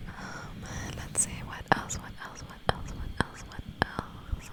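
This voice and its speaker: Someone whispers at a fairly slow pace, with noticeable background noise. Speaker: ASMR creator. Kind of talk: soft-spoken ASMR ramble to camera. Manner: whispered, soft-spoken, rambling.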